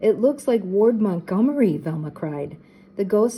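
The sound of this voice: Someone reads in an unforced voice, the intonation lively throughout.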